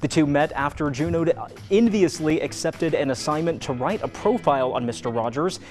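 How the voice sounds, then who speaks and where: With music in the background, a man speaks at a moderate pace in an upbeat tone, his pitch fairly high. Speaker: news anchor. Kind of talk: casual ad-lib banter.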